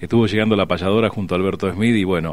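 A man's fairly low voice at a very fast pace. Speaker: traditionalist radio host as guest. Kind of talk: radio interview answer. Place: studio.

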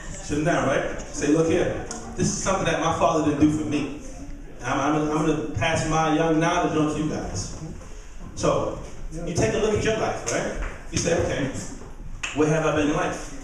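A man speaks with long, frequent pauses amid strong room echo and light background noise. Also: ordinary pitch variation, moderate pace. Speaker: stand-up comedian. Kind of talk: stand-up. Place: stage. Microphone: handheld.

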